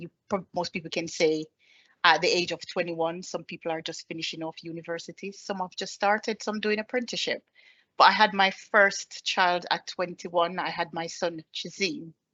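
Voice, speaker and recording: A woman with a Caribbean accent talks at a moderate pace with fairly even intonation. Her loudness swings a lot. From Jamaica. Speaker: army staff sergeant. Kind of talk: presentation. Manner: hesitant with fillers.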